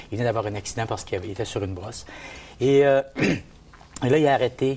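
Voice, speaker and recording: A man talks at a very fast clip, his pitch varying in an ordinary way. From Gaspésie, Quebec. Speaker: men's group participant. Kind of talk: testimony. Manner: halting.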